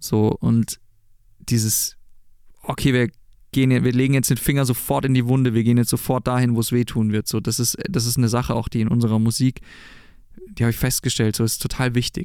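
On a very clean recording with a silent background, a man with a dark, mellow tone and medium pitch talks at a fairly quick pace, with fairly even intonation and long, frequent pauses. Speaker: rock band frontman and singer. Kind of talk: casual interview chat. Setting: studio.

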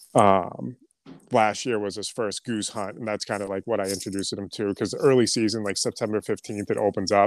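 Recorded very cleanly with a silent background and a dry, close sound with no echo, a man with an ordinary speaking voice talks at a fairly low pitch and a fairly quick pace with fairly even intonation. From Boston, then central New Hampshire. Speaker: clothing brand founder and duck hunter. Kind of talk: casual chat.

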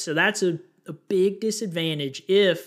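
The speaker is a man with a high pitch. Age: 20s. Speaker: podcast host on personal finance. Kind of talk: solo educational podcast monologue. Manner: casual, with frequent fillers.

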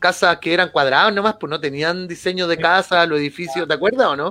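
Music plays in the background as a man talks. His pitch is high, his pace fairly quick, and his pitch variation ordinary. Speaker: podcast co-host. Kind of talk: casual chat.

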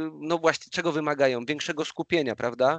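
A man's fairly high voice, dry and close with no echo, against a quiet background. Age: 30s. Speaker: personal trainer. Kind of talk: casual interview chat. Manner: halting, repeats words.

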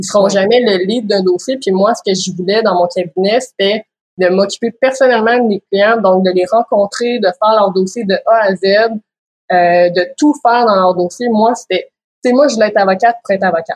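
With a Quebec accent, a woman talks at a medium pitch. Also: ordinary pitch variation, moderate pace. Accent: Québécois French. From Quebec, Quebec City. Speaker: lawyer and business owner. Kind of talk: interview.

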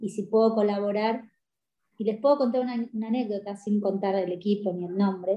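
Somewhat breathy female speech at a fairly quick clip. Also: medium pitch for a woman, fairly even intonation. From Paraguay. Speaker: sports coach. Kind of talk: interview.

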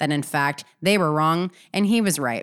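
On a very clean recording with a silent background, a woman speaks at a moderate pace in a fairly low pitch with ordinary pitch variation. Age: 30s. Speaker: podcast host and business coach. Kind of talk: solo podcast monologue. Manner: energetic.

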